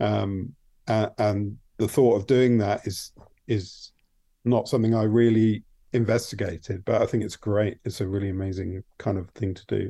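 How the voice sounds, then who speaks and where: With an English accent, a man speaks at a fairly low pitch in a dark, mellow tone and fairly even intonation. The recording is very clean, with a silent background. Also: moderate pace. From England. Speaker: TV production designer. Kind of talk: interview. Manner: halting, many fillers.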